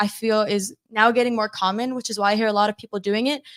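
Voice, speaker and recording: A woman with an American accent talks at a very fast pace in a fairly high pitch, her intonation fairly even and the sound dry and close with no echo. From USA, Colombian family. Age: 20s. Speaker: real estate show co-host. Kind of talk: live show discussion. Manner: fluent.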